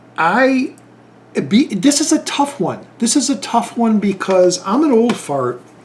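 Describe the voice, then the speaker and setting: With lively intonation and an extremely high pitch, a man speaks at a fairly slow pace over noticeable background noise. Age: 50s. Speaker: YouTube movie reviewer. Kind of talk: casual vlog talk. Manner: halting, many fillers.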